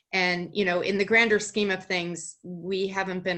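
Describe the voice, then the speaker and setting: Over a quiet background, a woman with an American accent speaks in a fairly low pitch, her tone bright and sharp and her intonation monotone and flat. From Boston area, US. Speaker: storyteller and writer. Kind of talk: interview.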